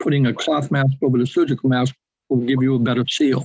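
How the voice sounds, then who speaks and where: At a fairly quick pace, a man with an American accent speaks in a medium pitch, somewhat breathy and with monotone, flat intonation. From New England, Boston. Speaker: webinar attendee asking questions. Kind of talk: webinar Q&A.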